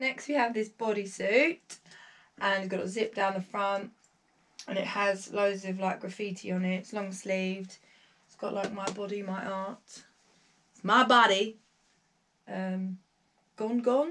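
A woman's voice at a fairly slow pace, with long, frequent pauses, big swings in loudness and ordinary pitch variation. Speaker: fashion vlogger. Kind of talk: casual clothing haul chat. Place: home room. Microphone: camera far.

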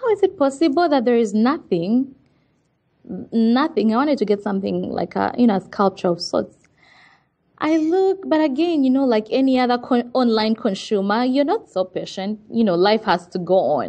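Here a woman talks in a high pitch at a moderate pace. Her pitch swings very widely. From Uganda. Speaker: entrepreneur. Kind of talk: interview.

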